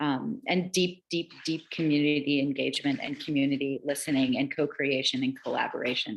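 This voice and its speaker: Her very deep, low voice carries fairly even intonation as the woman speaks. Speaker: presenter on digital equity. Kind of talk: online meeting presentation. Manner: fast.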